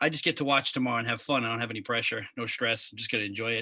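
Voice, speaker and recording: Speaking at a very fast pace with a strong Long Island accent, a man uses a medium pitch and a bright, sharp tone on a very clean recording with a silent background. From Long Island, New York. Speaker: podcast host. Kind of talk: casual chat.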